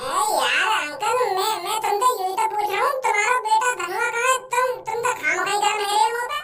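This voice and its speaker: Put-on character voice at a moderate pace, with hardly any pauses. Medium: voice reel. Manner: hot-headed, blunt.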